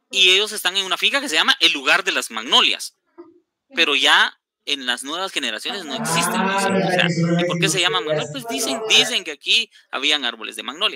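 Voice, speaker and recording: A high-pitched man's voice, fairly quick, with lively intonation. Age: 50s. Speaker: orchid research station director. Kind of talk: lecture Q&A.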